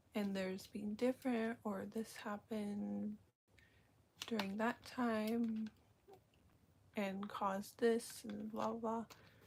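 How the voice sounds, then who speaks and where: Somewhat breathy and very slow, a woman talks at a fairly high pitch with monotone, flat intonation and long, frequent pauses. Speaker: vlogger. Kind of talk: casual live stream monologue. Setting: live stream. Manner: hesitant, many fillers.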